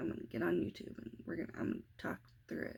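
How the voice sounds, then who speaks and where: A woman's voice with vocal fry. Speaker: vlogger, stay-at-home parent. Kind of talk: casual vlog monologue. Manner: raises voice when frustrated; calmer, less tense than at start.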